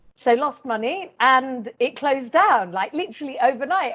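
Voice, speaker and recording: A woman with a London accent speaks at a high pitch and a fairly quick pace. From South London, England. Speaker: chartered accountant and business adviser. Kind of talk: interview.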